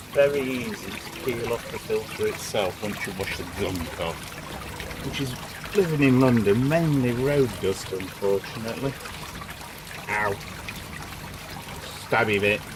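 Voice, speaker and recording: Someone with a slight northern English accent speaks at a fairly slow pace with ordinary pitch variation. Noticeable background noise and audible room echo surround the voice. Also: man. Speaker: DIY hobbyist vlogger. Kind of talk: casual tutorial. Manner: chatty, offhand.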